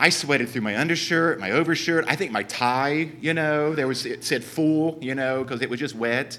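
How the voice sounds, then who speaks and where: With a southern Ohio accent, a man speaks at a moderate pace in a bright, sharp tone with ordinary pitch variation. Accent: Southern Ohio, noticeable. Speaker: church speaker. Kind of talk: church talk.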